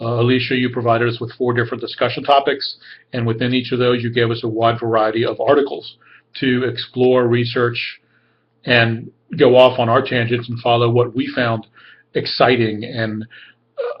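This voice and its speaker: This man's voice is somewhat breathy. His intonation stays monotone and flat. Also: medium pitch for a man. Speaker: graduate student. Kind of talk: class discussion video post. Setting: webcam recording. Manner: fast. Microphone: camera keeps cutting out.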